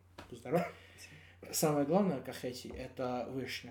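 A man with a Georgian accent, dark and mellow in tone, with lively intonation and audible room echo. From Georgia, Kakheti. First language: Georgian (speaking Russian). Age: 20s. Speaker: musician and stage technician. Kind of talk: casual interview chat. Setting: in-person recording. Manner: halting, many fillers.

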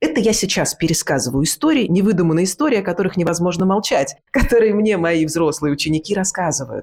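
With an ordinary speaking voice, a woman talks at a fairly quick pace in a fairly low pitch and lively intonation. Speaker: actress and speech teacher. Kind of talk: casual interview chat. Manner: clear diction, articulate.

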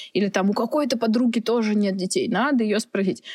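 Very fast speech with ordinary pitch variation and a dry, close sound with no echo. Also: woman. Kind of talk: casual chat. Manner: halting.

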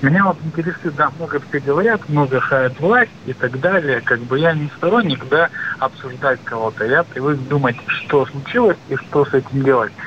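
There is noticeable background noise as a man speaks at a moderate pace. His pitch is fairly high, with ordinary pitch variation. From Russia, Krasnoyarsk. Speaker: caller. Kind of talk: phone-in question. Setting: phone call. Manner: halting.

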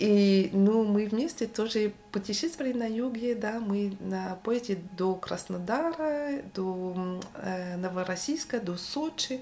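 Speaking very slowly, a woman uses lively intonation. Her pitch is medium. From Brittany, France. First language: French (speaking Russian). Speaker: sociologist. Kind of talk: casual chat. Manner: halting.

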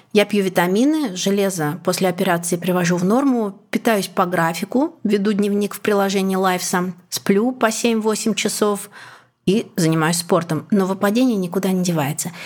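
With an unremarkable speaking voice, a woman talks at a moderate pace and very even loudness, medium in pitch with ordinary pitch variation. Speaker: journalist and podcaster. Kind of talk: personal story.

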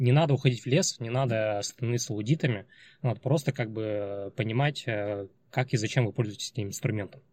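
Recorded very cleanly with a silent background, a man speaks fairly quickly in a somewhat breathy, medium-pitched voice with ordinary pitch variation. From Chelyabinsk, Russia. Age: 30s. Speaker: guest, former programmer and marketer studying neurophysiology. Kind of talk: casual interview chat.

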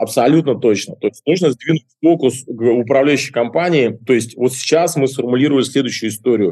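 With a dark, mellow tone, this man talks at a medium pitch. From Russian Far East (Kuril Islands). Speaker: restaurant entrepreneur. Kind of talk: interview. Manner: animated.

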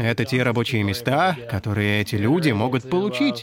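Recorded very cleanly against a silent background, a man with an English accent speaks at a medium pitch. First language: English (speaking Russian). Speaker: programming language creator. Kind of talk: interview.

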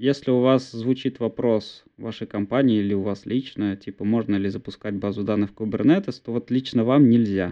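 A man with a plain, everyday voice talks at a moderate pace and medium pitch, with ordinary pitch variation and hardly any pauses. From Bashkortostan, Russia (village near Ufa). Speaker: DevOps engineer, co-host. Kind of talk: casual tech discussion. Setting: video call from parents' home. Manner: frequent filler words.

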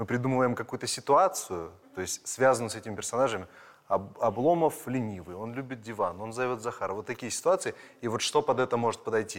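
A man talks very fast at a medium pitch with lively intonation on a very clean recording with a silent background. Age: 30s. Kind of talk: casual interview.

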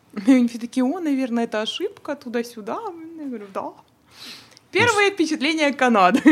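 A woman speaks at a high pitch and a fairly quick pace, with very wide pitch swings. Long, frequent pauses break her speech, and background noise is noticeable. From Odesa, Ukraine, then Toronto from age 12. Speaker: dental worker and photographer. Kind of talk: casual chat.

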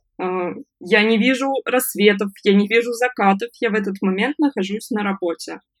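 A woman at a fairly slow pace in an ordinary speaking voice, the sound dry and close with no echo. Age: 20s. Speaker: freelance online service manager, former fast-food manager. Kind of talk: interview, personal story.

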